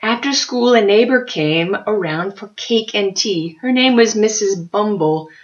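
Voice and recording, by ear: Reading aloud in a natural voice, the intonation lively throughout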